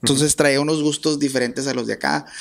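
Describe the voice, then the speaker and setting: A man talking at a fairly quick pace. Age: 40s. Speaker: accordionist, musician; podcast guest. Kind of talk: interview. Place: studio. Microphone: studio mic.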